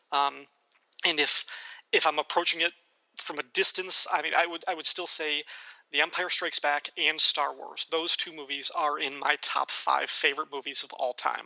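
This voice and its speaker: A man with an American accent speaks at a moderate pace in a fairly high pitch, his tone bright and sharp with vocal fry. His intonation is monotone and flat, and the sound is dry and close with no echo. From US Midwest, northern Illinois. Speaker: podcast host. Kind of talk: casual chat.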